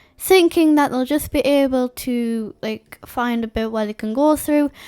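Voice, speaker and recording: Speaking at a fairly slow pace with an English accent, a woman uses a high voice with ordinary pitch variation, recorded very cleanly against a silent background with a dry, close sound and no echo. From England. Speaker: YouTuber narrating a map simulation. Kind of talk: casual commentary over a map simulation.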